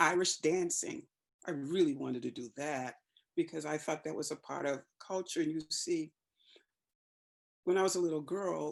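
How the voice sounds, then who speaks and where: A woman's very deep, low voice with an American accent, moderate pace, fairly even intonation, and long, frequent pauses. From Boston, US. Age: 60s. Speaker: actor and community event organizer. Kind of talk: virtual forum talk. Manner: informal.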